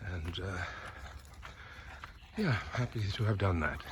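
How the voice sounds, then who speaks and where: A man's very deep, low voice, relaxed in tone, with ordinary pitch variation over noticeable background noise. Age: 60s. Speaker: vlogger, former broadcast journalist. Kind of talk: casual vlog monologue. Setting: outdoors, walking a dog in a park. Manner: relaxed, with frequent fillers.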